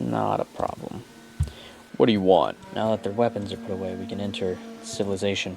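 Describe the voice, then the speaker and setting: This man speaks at a fairly low pitch. Noticeable background noise runs behind him. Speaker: gaming video creator. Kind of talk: let's play commentary. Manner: quiet; animated.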